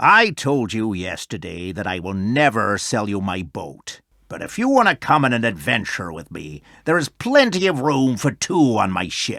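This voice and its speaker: A man puts on a character voice at medium pitch and a moderate pace. The recording is very clean, with a silent background. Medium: read story. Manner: hearty, boastful.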